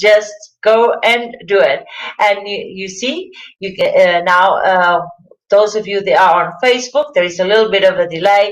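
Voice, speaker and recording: Speaking in a Portuguese accent, a woman with medium pitch keeps a fairly slow pace. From Portugal. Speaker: wellness coach. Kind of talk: live presentation. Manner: halting.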